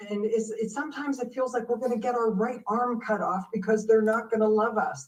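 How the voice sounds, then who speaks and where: Fairly quick, fairly high-pitched speech from a woman, a normal speaking voice with ordinary pitch variation. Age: 60s. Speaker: business growth consultant. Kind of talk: live show interview.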